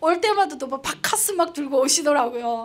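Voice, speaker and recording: Her tone animated and her intonation lively, a woman speaks at a fairly quick pace. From North Korea, Pyongyang. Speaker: North Korean defector broadcaster. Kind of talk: public talk.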